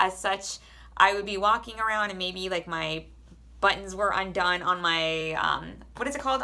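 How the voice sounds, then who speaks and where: Loud and animated, a woman speaks fairly quickly with a bright, sharp tone. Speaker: army soldier and vlogger. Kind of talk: casual advice vlog.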